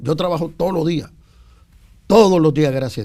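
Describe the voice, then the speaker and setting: A man with a Dominican accent speaks at a fairly high pitch in a dark, mellow tone. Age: 60s. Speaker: singer-songwriter and backing vocalist. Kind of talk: interview. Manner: halting.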